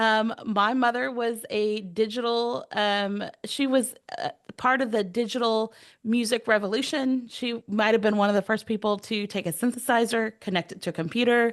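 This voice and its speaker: A woman with an American accent, fairly high pitch, quiet background. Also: ordinary pitch variation, moderate pace. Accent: Texas accent, stronger when excited. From Texas. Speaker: AI strategist, education speaker. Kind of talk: presentation to online workshop. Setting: video call.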